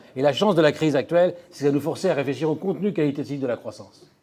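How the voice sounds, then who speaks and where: A man speaks with a fairly high pitch and ordinary pitch variation. Noticeable background noise comes through as well. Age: 60s. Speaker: economist and futurist lecturer. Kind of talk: lecture. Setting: conference hall with audience.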